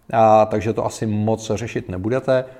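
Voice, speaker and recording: A man speaks at a moderate pace with a medium pitch. His tone is dark and mellow. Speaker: tech podcaster and headphone reviewer. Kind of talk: casual product review monologue. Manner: animated, chatty.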